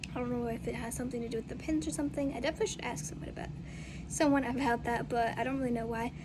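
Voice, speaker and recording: A woman with a fairly high pitch and lively intonation talks at a very fast pace, with audible room echo and noticeable background noise. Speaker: vlogger in halo traction. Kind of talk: casual vlog. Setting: outdoors.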